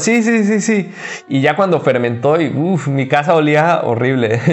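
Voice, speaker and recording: A man with a Mexican accent speaks at a moderate pace with lively intonation and very even loudness. Background noise is noticeable. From Mexico, Cancún. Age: 30s. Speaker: vegan chef and restaurant owner. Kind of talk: casual interview.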